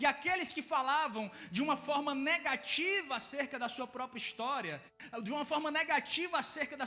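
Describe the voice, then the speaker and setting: In a Ceará accent, a man speaks in a raised, projected voice at an extremely high pitch and a moderate pace. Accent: Ceará northeastern. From Ceará, Brazilian Northeast. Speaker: guest preacher and mental health speaker. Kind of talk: sermon. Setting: church service with congregation.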